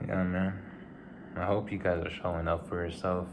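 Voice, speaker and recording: A man is speaking. There is audible echo in the room. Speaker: vlogger. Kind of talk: casual vlog monologue. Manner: halting, repeats words.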